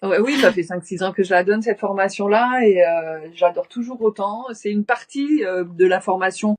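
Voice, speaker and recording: Woman at medium pitch, moderate pace, hardly any pauses, ordinary pitch variation, dry, close sound with no echo. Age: 60s. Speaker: shamanic practitioner and teacher. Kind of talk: interview. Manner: halting.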